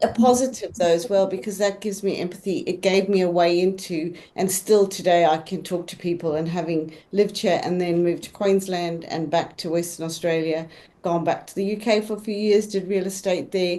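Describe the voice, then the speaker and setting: With a South African accent, a woman talks fairly quickly with hardly any pauses, a medium pitch, fairly even intonation, a dark, mellow tone and big swings in loudness. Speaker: real estate agent. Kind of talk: panel discussion.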